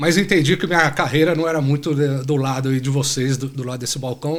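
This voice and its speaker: A man talks at a moderate pace in an ordinary speaking voice. His pitch varies in an ordinary way. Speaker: supply chain executive. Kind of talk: podcast interview.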